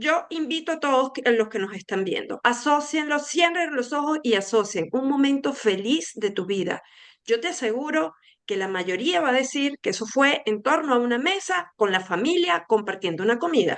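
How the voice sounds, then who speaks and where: A woman with a high pitch speaks at a moderate pace with very wide pitch swings. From Venezuela. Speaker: food tourism expert. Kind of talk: interview conversation.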